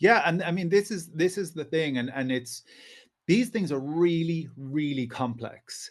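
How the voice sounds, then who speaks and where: A man speaks with an Irish accent at a fairly slow pace. His pitch sits fairly high, and his intonation is lively. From Ireland. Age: 40s. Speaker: historian and writer. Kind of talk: podcast interview.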